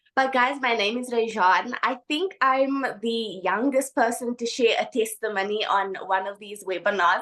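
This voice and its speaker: A woman's fairly high, bright, sharp voice with ordinary pitch variation and hardly any pauses. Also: moderate pace. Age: 20s. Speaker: online business testimonial speaker. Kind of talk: testimony. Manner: animated.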